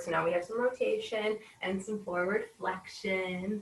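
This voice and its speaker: This is a normal speaking voice from a woman at a medium pitch. She speaks at a fairly slow pace. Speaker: yoga instructor. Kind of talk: guided yoga class. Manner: slow, calm.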